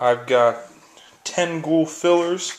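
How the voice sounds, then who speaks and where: Over noticeable background noise, a man speaks at a very slow pace with a fairly high pitch and fairly even intonation. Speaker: wargaming hobbyist video maker. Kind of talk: product unboxing review. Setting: at home, filming one-handed. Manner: casual, chatty.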